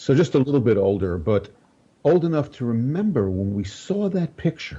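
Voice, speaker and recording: A man speaks at a moderate pace and medium pitch, with very wide pitch swings. His voice is somewhat breathy, with a dark, mellow tone. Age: 70s. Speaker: spiritual teacher. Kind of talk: interview conversation.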